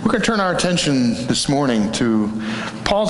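A man speaks at a moderate pace with very wide pitch swings. Audible room echo and light background noise fill the recording. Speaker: preacher. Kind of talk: scripture reading in a sermon. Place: church.

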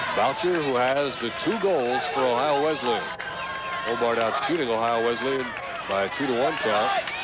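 The speech moves at a moderate pace with a dry sound and no echo. Loud background noise runs underneath. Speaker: play-by-play commentator. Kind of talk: live sports commentary, play-by-play. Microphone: headset.

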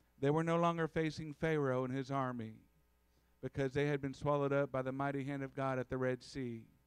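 Recorded dry with no echo against a quiet background, a man talks at a fairly quick pace with fairly even intonation. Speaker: preacher. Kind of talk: sermon. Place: church. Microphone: podium.

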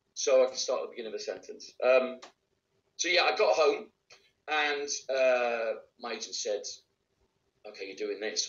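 A man speaks with a Welsh accent at a moderate pace. There is audible room echo. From Wales. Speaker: actor and voice actor. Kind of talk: interview answer. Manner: casual, conversational. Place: home room. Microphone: video call.

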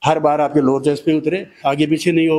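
A man at a moderate pace. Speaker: fitness trainer. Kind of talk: tutorial. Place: gym. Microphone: handheld.

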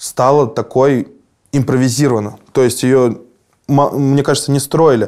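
Over a quiet background, a man of medium pitch speaks at a fairly slow pace in a dark, mellow tone with monotone, flat intonation. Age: 30s. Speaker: musician; interviewee. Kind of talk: interview. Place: studio. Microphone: lapel.

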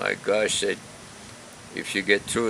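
A man speaks at a fairly low pitch over light background noise. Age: 80s+. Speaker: retired baseball player. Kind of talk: interview answer. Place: garden. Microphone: phone near.

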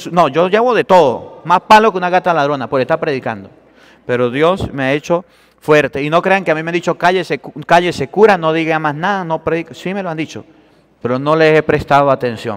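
The speaker talks at a fairly quick pace in an animated tone over a quiet background. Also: man, fairly high pitch for a man, ordinary pitch variation. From Venezuela. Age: 30s. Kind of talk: sermon. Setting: church. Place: church.

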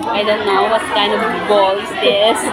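A woman speaking over crowd noise in the background. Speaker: vlogger. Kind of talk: casual vlog chat. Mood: cheerful, amused. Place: cafe. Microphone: phone near.

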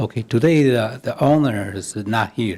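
Using ordinary pitch variation, a man with a non-native accent speaks at medium pitch and a very slow pace. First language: not English. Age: 60s. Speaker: applicant's brother at council meeting. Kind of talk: public comment at council meeting. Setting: council chamber at podium microphone. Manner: halting.

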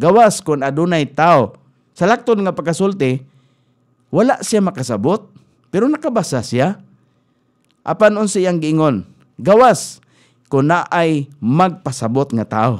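Against a quiet background, a man with a high pitch speaks at a fairly slow pace, his voice moving in very wide pitch swings. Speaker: radio preacher. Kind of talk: radio sermon, Bible teaching. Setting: radio studio. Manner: earnest, exhortative, steady preaching cadence; formal, pastoral, mixes in English Bible verses. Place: studio. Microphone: studio mic.

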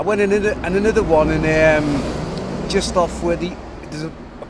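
Noticeable background noise sits behind this recording. A man with a Liverpool accent talks at a moderate pace. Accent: Liverpool (Scouse). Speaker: local resident. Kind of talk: street interview. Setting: outdoors.

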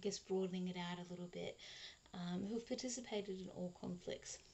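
A woman speaks with an Australian accent. Her intonation stays fairly even. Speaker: cross stitch vlogger. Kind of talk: casual vlog monologue. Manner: hesitant, many fillers. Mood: cheerful, chatty. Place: home room. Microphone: webcam.

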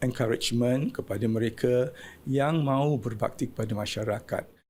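A man's dark, mellow voice at medium pitch moves at a moderate pace with fairly even intonation. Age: 70s. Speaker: award recipient, retired auditor and community volunteer leader. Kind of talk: short interview soundbite. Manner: halting.

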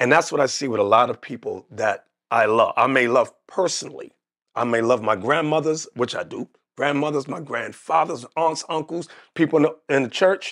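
Speaking at a moderate pace with an American accent, a man has a fairly high pitch for a man, ordinary pitch variation and an animated tone. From United States. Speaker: religious leader. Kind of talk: interview about religion. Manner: animated storyteller.

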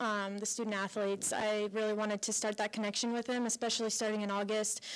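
The speaker is a woman with an American accent. Her pitch is fairly high. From Colorado. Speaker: college softball head coach. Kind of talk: radio interview. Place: hall. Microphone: handheld.

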